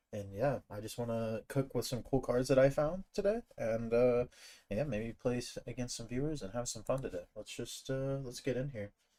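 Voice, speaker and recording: A man with a dark, mellow tone keeps a moderate pace and ordinary pitch variation. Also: medium pitch for a man. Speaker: gaming streamer. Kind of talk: live stream commentary. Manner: halting, many fillers.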